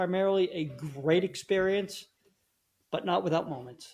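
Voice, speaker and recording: A man talks with fairly even intonation. Around him, the background is silent and the recording very clean. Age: 60s. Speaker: herbal tea business owner. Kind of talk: podcast interview. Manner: halting, repeats words.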